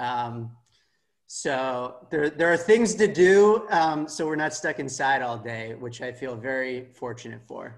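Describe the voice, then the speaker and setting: In an American accent, a man with a fairly high pitch talks at a fairly slow pace with lively intonation. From California, Palo Alto. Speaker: football fan and former club board candidate. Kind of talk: casual interview.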